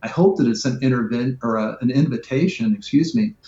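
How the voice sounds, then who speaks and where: Somewhat breathy, a man at a medium pitch speaks with very wide pitch swings. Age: 60s. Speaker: nonprofit CEO. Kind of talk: interview. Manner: halting, many fillers.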